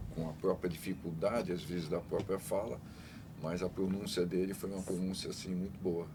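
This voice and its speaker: A man's very deep, low voice, somewhat breathy, with a dark, mellow tone and fairly even intonation. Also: moderate pace. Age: 70s. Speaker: father of a guest with Down syndrome, former council member. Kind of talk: casual chat.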